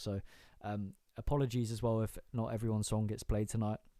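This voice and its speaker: A man with a British accent talks in fairly even intonation on a very clean recording with a silent background. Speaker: live-stream music show host. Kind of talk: casual live-stream chat. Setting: home bedroom. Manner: stuttering, many fillers.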